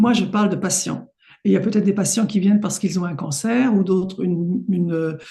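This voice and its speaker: Somewhat breathy, a woman speaks at a medium pitch with a dark, mellow tone. Her pitch variation is ordinary and her pace moderate. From Paris, France. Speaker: homeopath. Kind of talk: interview.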